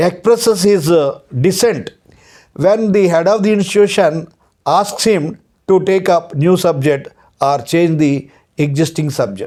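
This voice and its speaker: A man with a Telugu accent speaks in a high voice with a dark, mellow tone. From Andhra Pradesh, India. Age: 60s. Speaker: retired law lecturer. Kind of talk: lecture. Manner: hesitant, with frequent uh fillers and repetitions.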